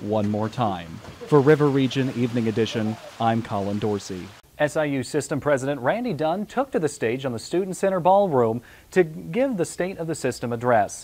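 Against light background noise, a man talks at a moderate pace with lively intonation. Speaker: student news reporter. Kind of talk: news package narration. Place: studio. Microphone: lapel.

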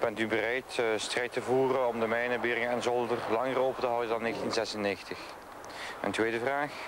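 Over noticeable background noise, a man speaks at a moderate pace and medium pitch, with flat, monotone intonation and very even loudness. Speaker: news reporter. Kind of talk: 1989 TV news reporting, scripted voice-over. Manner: formal, measured.

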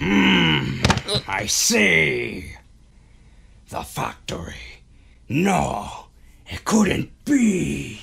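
A raspy male voice moves at a very slow pace. He leaves long, frequent pauses. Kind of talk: comic overacting. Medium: comedy sketch. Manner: loud, aggressive, melodramatic.

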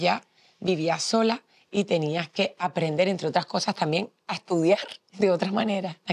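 A woman talks at a fairly low pitch and a fairly slow pace. Her pitch varies in an ordinary way over a quiet background. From Canary Islands, Mogán (Gran Canaria); Canary Islands, Spain. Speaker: television journalist. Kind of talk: testimony interview. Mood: warm, smiling, nostalgic. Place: hall.

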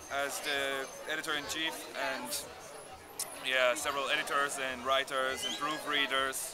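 A man's fairly slow speech against noticeable background noise. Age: 20s. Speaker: student designer. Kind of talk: interview. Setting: outdoors. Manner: halting. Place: street. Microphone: phone near.

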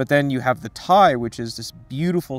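The sound is dry, with no echo at all. A man talks at a moderate pace. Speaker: menswear commentator. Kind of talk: commentary. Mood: relaxed, enthusiastic. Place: garden. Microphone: lapel.

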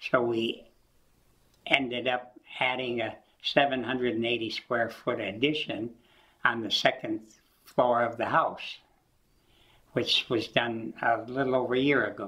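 A man with an American accent speaks very slowly, with long, frequent pauses and flat, monotone intonation. His medium-pitched voice has a bright, sharp tone against a quiet background. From US Midwest, Michigan. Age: 80s+. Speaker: collector and retired military electronics worker; interviewee. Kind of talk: oral history interview. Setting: at home. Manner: halting, frequent repetitions and fillers. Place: home room.

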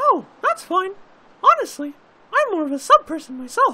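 A man's put-on character voice, extremely high in pitch, with very wide pitch swings at a moderate pace

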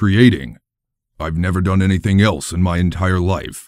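In a very clean recording with a silent background, a man with a very deep, low pitch talks at a moderate pace with ordinary pitch variation. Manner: calm, cryptic, earnest.

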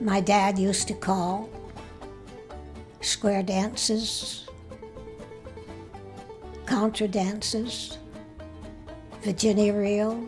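A woman with a rural New England accent speaks at a very slow pace in a medium-pitched, monotone, flat voice, with very even loudness and long, frequent pauses. Music plays in the background. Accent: rural New England American. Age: 80s+. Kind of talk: interview answer. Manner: halting, reminiscing.

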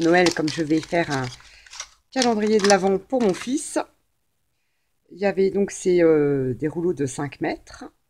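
Against noticeable background noise, a woman with a fairly low pitch talks at a fairly slow pace. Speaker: craft haul vlogger. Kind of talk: casual haul video chat. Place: home room. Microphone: camera far.

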